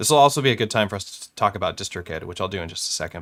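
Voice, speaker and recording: A man with a fairly low voice speaks with lively intonation in a very clean recording against a silent background. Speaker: music production youtuber. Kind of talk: live-streamed tutorial. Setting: live stream. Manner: fast.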